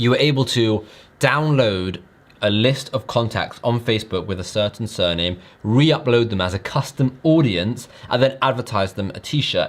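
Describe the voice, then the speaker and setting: Using ordinary pitch variation, a man talks at a medium pitch. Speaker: online business youtuber. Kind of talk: casual vlog talk to camera. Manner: fast.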